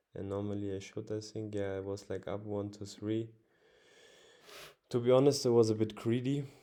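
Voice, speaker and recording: Speaking fairly slowly, a man has a fairly low pitch and a dark, mellow tone. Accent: non-native. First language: not English. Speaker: forex trader. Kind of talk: casual tutorial. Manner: halting, many fillers.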